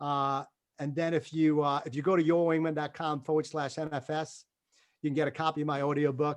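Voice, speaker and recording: A man talks with a New York accent. His pitch is fairly high. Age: 50s. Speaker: motivational speaker, former military pilot. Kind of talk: motivational talk. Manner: animated.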